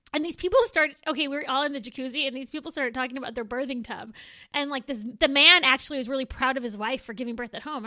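In an American accent, a woman with a high, bright, sharp voice speaks in a raised, projected way at a very fast pace with ordinary pitch variation over a quiet background. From Southern California, Moreno Valley. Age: 30s. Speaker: podcast co-host. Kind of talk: casual chat.

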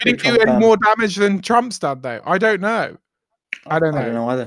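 This man has a high pitch for a man and lively intonation, with a North London accent. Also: moderate pace. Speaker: podcast co-host.

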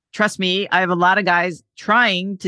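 This woman has a fairly low pitch and a bright, sharp tone, with fairly even intonation, heard in a dry, close recording with no echo and a very clean, silent background. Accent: American. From Connecticut, US. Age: 40s. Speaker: men's health coach. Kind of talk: casual interview.

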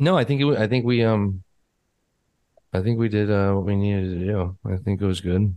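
A man with an American accent speaks at a fairly low pitch in a dark, mellow tone, with ordinary pitch variation. His loudness stays very even, broken by long, frequent pauses. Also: fairly quick pace. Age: 30s. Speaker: podcast host. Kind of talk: casual interview chat. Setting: remote call.

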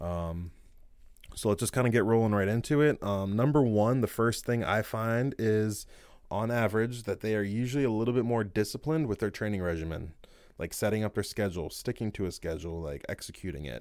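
A man's fairly low, normal speaking voice at a fairly quick pace, with ordinary pitch variation, on a very clean recording with a silent background. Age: 30s. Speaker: fitness coach and podcast host. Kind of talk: solo podcast monologue. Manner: casual, many filler words.

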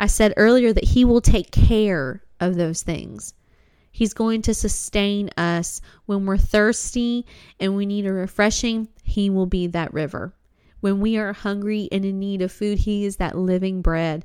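In an unremarkable speaking voice, a woman talks at a fairly slow pace with fairly even intonation on a very clean recording with a silent background. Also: medium pitch for a woman. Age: 20s. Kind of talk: devotional talk. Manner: warm, conversational.

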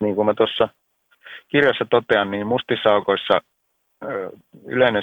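Speech comes at a fairly slow pace. The voice belongs to a man. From Finland. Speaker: science writer and journalist. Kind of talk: interview. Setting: phone call.

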